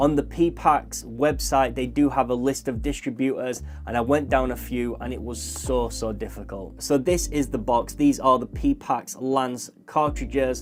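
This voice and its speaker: With music in the background, the speaker talks with hardly any pauses in a British accent. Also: fairly slow pace. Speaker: tattoo artist reviewing products. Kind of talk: product review.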